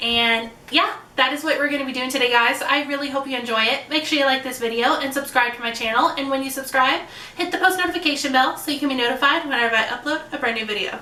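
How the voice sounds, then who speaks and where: Amid noticeable background noise and audible room echo, a woman talks at a very fast pace with hardly any pauses, her raised, projected voice pitched high with ordinary pitch variation. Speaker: beauty youtuber. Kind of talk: casual makeup tutorial vlog.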